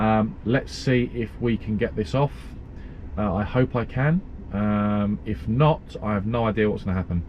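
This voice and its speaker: A man with an English accent talks over noticeable background noise. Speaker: truck driver vlogger. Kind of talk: casual vlog.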